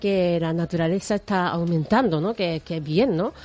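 With a Japanese accent, a woman speaks fairly slowly in a dark, mellow tone. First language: Japanese (speaking Spanish). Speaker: radio host. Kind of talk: radio presenting.

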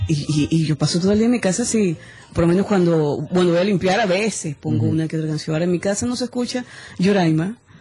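Over noticeable background noise, a woman with a fairly low pitch talks at a very fast pace with ordinary pitch variation. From Venezuela. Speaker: singer. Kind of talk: casual interview chat. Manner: animated, halting with repetitions.

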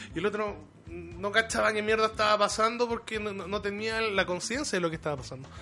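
A man with a high pitch speaks in a raised, projected voice at a very fast pace, with ordinary pitch variation. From Chile, Conchalí (Santiago). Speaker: professional wrestler. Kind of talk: casual chat.

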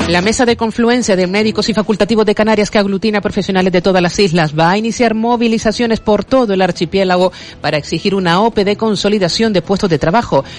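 The speech comes at a very fast pace with hardly any pauses. Noticeable background noise runs underneath. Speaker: news reader. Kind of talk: news reading. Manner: formal.

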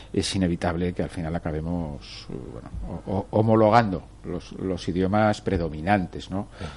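At a moderate pace and with hardly any pauses, a man speaks in a very deep, low pitch. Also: ordinary pitch variation. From Torrent, Valencia. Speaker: radio host. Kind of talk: radio interview. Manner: halting, repeats words.

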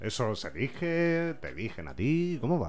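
The pitch swings very widely. The speaker is a man. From Spain, Vega Baja (Alicante). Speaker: podcast host. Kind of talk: casual interview.

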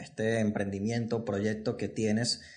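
A man's plain, everyday voice, medium in pitch, at a moderate pace. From Venezuela. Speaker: podcast host. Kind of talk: casual interview. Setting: studio set.

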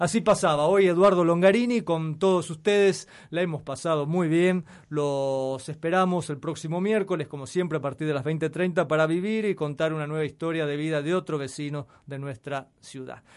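This man has a Rioplatense accent and a fairly high pitch. He talks at a moderate pace with ordinary pitch variation. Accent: Argentine Rioplatense Spanish. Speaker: radio host. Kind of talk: scripted announcement; radio interview. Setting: radio studio.

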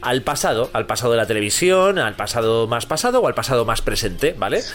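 Noticeable background noise sits behind a man speaking at a fairly quick pace. His pitch swings very widely. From Catalonia, Spain (Terrassa). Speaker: comedy podcast host. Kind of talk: casual comedic chat. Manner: animated.

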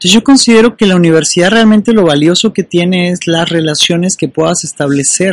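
Speech at a fairly quick pace with hardly any pauses and ordinary pitch variation comes through with a dry, close sound and no echo. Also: man, high pitch for a man. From Mexico. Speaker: motivational coach. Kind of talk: monologue video. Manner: filler-heavy.

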